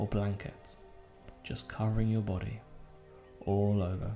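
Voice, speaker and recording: With music in the background, a man speaks in a fairly low pitch and a soothing tone, with ordinary pitch variation. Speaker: hypnotist. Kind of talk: guided sleep hypnosis. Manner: slow, soothing.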